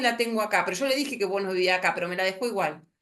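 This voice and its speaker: A woman is speaking. She has a Rioplatense accent. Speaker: lawyer lecturer. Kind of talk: lecture. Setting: video call. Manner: fast; halting.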